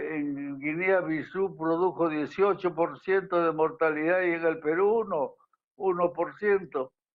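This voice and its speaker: Fairly even intonation from a man with a high pitch, at a fairly slow pace. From Peru, Cusco. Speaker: physician and historian. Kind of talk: interview. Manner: halting, many repetitions.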